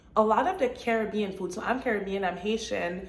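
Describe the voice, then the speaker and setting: A woman's fairly high-pitched voice at a fairly quick pace, with ordinary pitch variation and audible room echo. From Montreal, Quebec, Canada. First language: French. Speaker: real estate agent and vlogger. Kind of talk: casual vlog monologue.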